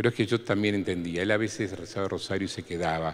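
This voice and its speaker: A man with a very deep, low voice. He talks at a moderate pace with ordinary pitch variation. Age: 60s. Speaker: priest. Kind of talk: talk to catechists.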